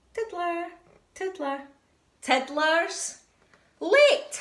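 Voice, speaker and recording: A squeaky, female-sounding put-on character voice with an extremely high pitch. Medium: read story.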